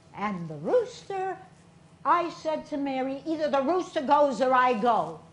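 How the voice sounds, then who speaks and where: With an American accent, a woman talks amid noticeable background noise and audible room echo. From Boston area, US. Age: 70s. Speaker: stage performer. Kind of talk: solo stage show monologue.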